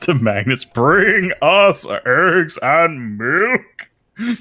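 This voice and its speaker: Using a put-on character voice, a man speaks in a high pitch at a very slow pace. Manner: commanding.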